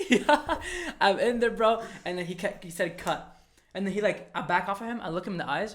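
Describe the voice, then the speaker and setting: A man's high-pitched, animated voice with ordinary pitch variation, a fairly quick pace and an Arabic accent. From Egypt. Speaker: actor, podcast co-host. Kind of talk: casual chat.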